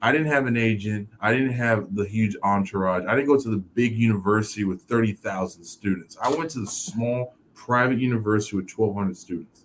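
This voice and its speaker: A man's unremarkable speaking voice with an American accent, fairly low in pitch, at a fairly quick pace with ordinary pitch variation. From Miami, Florida (Haitian family, born New York). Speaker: former pro football player, author and speaker. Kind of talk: interview. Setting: live video show. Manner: many fillers (um, you know).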